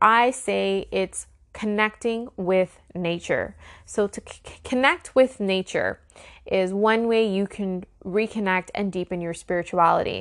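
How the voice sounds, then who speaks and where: A woman with an unremarkable speaking voice talks at a fairly slow pace with ordinary pitch variation against a quiet background. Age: 30s. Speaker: spiritual life coach. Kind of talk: solo teaching podcast.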